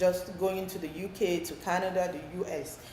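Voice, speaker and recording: With a Nigerian accent, a woman talks at a medium pitch, with audible room echo and noticeable background noise. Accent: Nigerian accent, owns it. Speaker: talk show host. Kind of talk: interview.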